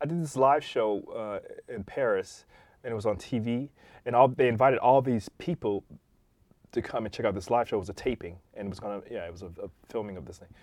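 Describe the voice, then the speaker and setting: A man with an American accent speaks in an ordinary speaking voice at medium pitch and a fairly quick pace, with ordinary pitch variation. His loudness swings widely on a very clean recording with a silent background. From Detroit, US Midwest. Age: 50s. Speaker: techno DJ and producer. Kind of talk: casual interview.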